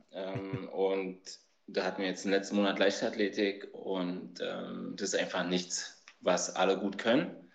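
A man talks at a fairly slow pace. His pitch is fairly low. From Berlin (East). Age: 40s. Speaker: youth basketball coach. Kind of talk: casual chat.

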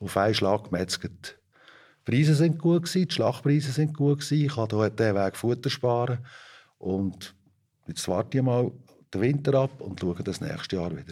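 Lively intonation marks this man's medium-pitched voice at a moderate pace. The recording is very clean, with a silent background. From Switzerland, Fricktal (Aargau). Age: 50s. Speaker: organic dairy farmer. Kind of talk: interview. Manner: hesitant with filler sounds.

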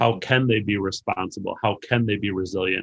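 A man with an American accent talks in an unremarkable speaking voice, fairly low in pitch. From US Midwest, Racine, Wisconsin. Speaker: education curriculum director and author. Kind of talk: interview about education.

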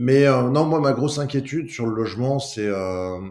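At a very slow pace, a man speaks at a medium pitch with ordinary pitch variation and a dark, mellow tone, with audible room echo. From France, Lyon. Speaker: real estate agency co-founder. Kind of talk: interview. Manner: halting, many hesitations and repetitions.

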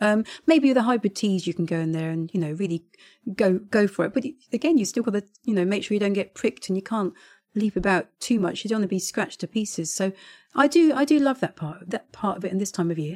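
Speaking very fast with lively intonation, a woman at medium pitch is recorded with a dry, close sound and no echo. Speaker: head gardener and podcast co-host. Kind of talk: casual chat.

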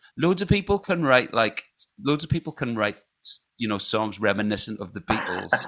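In a Scottish accent, a man talks at a fairly quick pace. His pitch sits in the medium range but makes very wide swings. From Scotland. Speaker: podcast co-host and musician. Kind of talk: casual chat.

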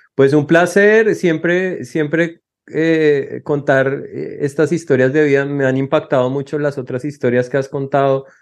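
Over a quiet background, a man talks at a fairly slow pace. His pitch is fairly high and his intonation fairly even. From Colombia. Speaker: asylum seeker. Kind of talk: interview. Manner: halting.

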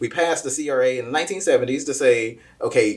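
A plain, everyday voice, male and fairly high-pitched, moderately paced with ordinary pitch variation. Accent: American. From Kansas City, Missouri (US Midwest). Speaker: nonprofit founder and army veteran. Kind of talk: interview.

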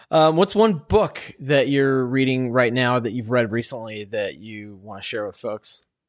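A man's ordinary speaking voice at medium pitch, fairly slow and with hardly any pauses, with big swings in loudness. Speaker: podcast host. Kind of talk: interview podcast, conversational. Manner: upbeat, friendly.

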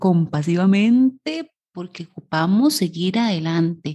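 A woman's somewhat breathy voice with lively intonation at a fairly slow pace. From Costa Rica. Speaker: psychologist and leadership coach, podcast co-host. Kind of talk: casual chat. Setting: studio recording, 7am on a Saturday.

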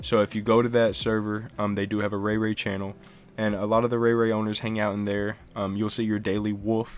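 Here is a man with a plain, everyday voice. He speaks fairly low and at a fairly quick pace. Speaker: podcast host. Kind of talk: casual interview chat. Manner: friendly, upbeat.

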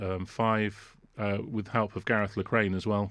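Here a man speaks at a fairly low pitch and a moderate pace. The background is quiet. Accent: English. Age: 50s. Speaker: composer and orchestrator. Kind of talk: casual chat. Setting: video call.

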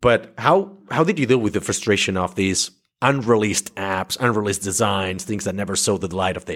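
A man with a plain, everyday voice, fairly low pitch, ordinary pitch variation and a fairly quick pace, in a very clean recording with a silent background. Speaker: podcast host, agency founder. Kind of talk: casual interview.

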